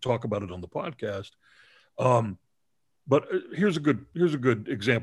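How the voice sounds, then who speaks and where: In a normal speaking voice, a man with an American accent talks at a fairly quick pace with lively intonation. The very clean recording has a silent background and a dry, close sound with no echo. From Texas, Dallas. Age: 50s. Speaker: film critic and podcast host. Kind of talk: casual interview chat.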